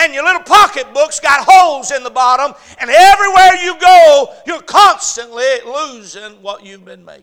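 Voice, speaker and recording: A man uses a raised, projected voice at an extremely high pitch, moving at a moderate pace. His tone is animated, bright and sharp. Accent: American. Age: 30s. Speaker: pastor. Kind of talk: sermon. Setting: church.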